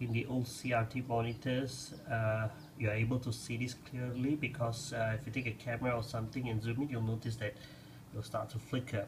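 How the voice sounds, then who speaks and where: Noticeable background noise sits behind a man speaking at a moderate pace with monotone, flat intonation. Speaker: tech reviewer. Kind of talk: casual tech demo commentary. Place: home room. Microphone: phone near.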